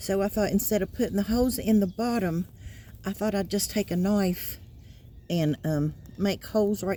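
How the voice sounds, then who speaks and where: A woman with an American accent at medium pitch, dark and mellow in tone, with ordinary pitch variation, very even loudness and moderate pace, in a very clean recording with a silent background. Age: 60s. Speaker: gardening vlogger. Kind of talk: casual vlog narration. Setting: outdoors in yard.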